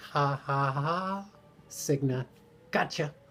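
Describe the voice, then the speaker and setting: The man's medium pitch shows ordinary pitch variation. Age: 60s. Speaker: weight-loss surgery vlogger. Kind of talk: personal video diary update. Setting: at home. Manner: halting, many fillers.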